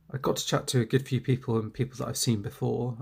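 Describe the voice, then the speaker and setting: A man talks at a very fast pace, somewhat breathy. His intonation is monotone and flat. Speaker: toy collector YouTuber. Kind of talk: casual vlog talk. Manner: halting, many fillers.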